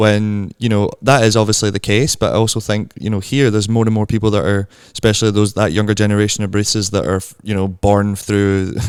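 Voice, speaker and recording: A man talks very fast with a Glasgow accent. His fairly low voice stays monotone and flat. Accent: Scottish (Glasgow), audible. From Scotland. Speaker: barista and coffee content creator. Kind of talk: casual chat. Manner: hesitant, many fillers.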